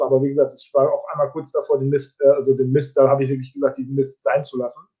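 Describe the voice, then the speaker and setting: Very fast and monotone with flat intonation, a man speaks at a fairly high pitch in a somewhat breathy voice. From northern Germany, Osnabrück area. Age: 30s. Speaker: distance learning graduate. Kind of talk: interview. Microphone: connection lag.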